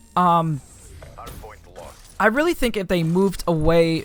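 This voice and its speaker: A man talks in a high voice with fairly even intonation. Noticeable background noise runs under the recording. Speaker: gaming youtuber. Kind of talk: gameplay commentary. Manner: halting, many fillers; casual.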